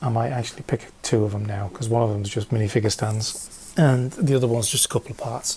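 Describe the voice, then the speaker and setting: The pace is fairly quick as this man talks. Behind him, background noise is noticeable. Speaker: LEGO reseller vlogger. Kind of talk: casual vlog. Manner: hesitant, many fillers; hyper, animated.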